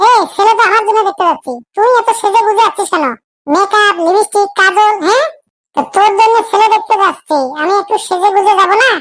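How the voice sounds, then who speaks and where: A woman uses a squeaky, cartoonish character voice at an extremely high pitch. She speaks at a moderate pace. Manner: pushy, excitable.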